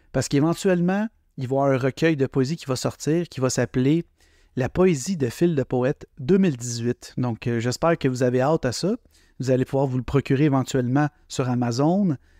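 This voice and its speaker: A man with a Quebec accent speaks at a fairly quick pace in a dark, mellow tone and medium pitch. His ordinary pitch variation comes through a dry, close sound with no echo against a quiet background. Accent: Québécois. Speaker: poet and podcaster. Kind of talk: casual chat. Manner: spontaneous, improvised.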